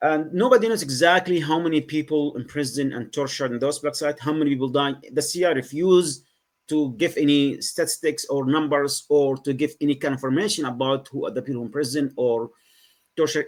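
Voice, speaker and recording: Talking at a very fast pace, a man with a Yemeni accent has a fairly high pitch and ordinary pitch variation. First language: Arabic. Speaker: former Guantanamo detainee, writer, advocate. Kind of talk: podcast interview answer.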